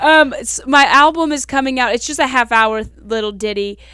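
Bright and sharp, a woman's voice carries a Southern US accent and ordinary pitch variation on a very clean recording with a silent background. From Kentucky, US South. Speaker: stand-up comedian. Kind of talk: casual interview chat. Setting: podcast studio.

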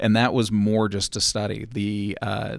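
Here a man speaks with an American accent at a fairly low pitch. Vocal fry runs through his voice. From Los Angeles, then Utah. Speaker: panelist on a geek podcast. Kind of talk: casual interview chat.

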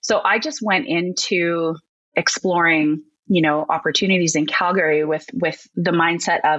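A woman's fairly low-pitched, normal speaking voice at a fairly slow pace over a quiet background. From Alberta, Canada (near Red Deer). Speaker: educator at a learning company, former teacher. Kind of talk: casual interview.

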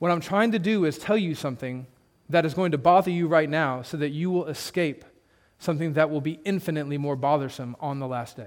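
At a fairly quick pace, a man talks in an ordinary speaking voice with a fairly high pitch and ordinary pitch variation. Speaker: preacher. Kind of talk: sermon to a congregation, expository preaching ending in a solemn closing prayer. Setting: church. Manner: earnest, building to a rhetorical, pleading intensity; conversational, plain-spoken, with a touch of humor.

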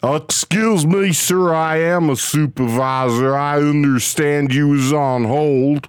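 In a put-on character voice at low-to-middle pitch, the speaker goes at a fairly slow pace with hardly any pauses.

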